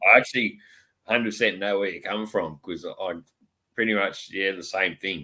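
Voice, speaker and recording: A man talks in an Australian accent at a fairly low pitch and a moderate pace. His intonation is fairly even, on a very clean recording with a silent background. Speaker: live stream host. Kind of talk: casual chat.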